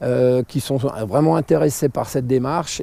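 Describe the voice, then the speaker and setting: Speaking at a very slow pace, a man has a medium pitch, with noticeable background noise behind him. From France, Alsace. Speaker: vlogger. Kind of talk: casual vlog monologue. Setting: outdoors in nature, cold. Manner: hesitant, many fillers.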